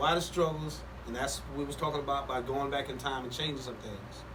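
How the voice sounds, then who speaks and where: Noticeable background noise and audible room echo around a man speaking fairly quickly. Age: 60s. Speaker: pastor. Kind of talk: casual podcast chat. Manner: preachy, building storytelling.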